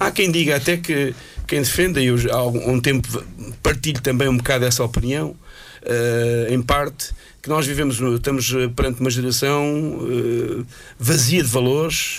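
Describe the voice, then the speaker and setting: A man speaks at a moderate pace with ordinary pitch variation and very even loudness. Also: medium pitch for a man. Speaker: radio panelist. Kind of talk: casual chat.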